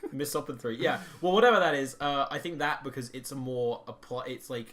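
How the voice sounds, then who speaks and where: Against noticeable background noise, a man with a fairly high pitch speaks at a fairly quick pace with ordinary pitch variation. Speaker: podcast co-host. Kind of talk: casual chat. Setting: shared microphone. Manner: loud; animated.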